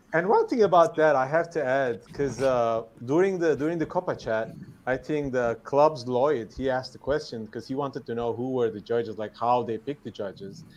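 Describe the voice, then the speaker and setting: A man with a non-native accent speaks fairly quickly at a medium pitch, with ordinary pitch variation. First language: not English. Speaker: guest. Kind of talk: casual chat. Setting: live stream.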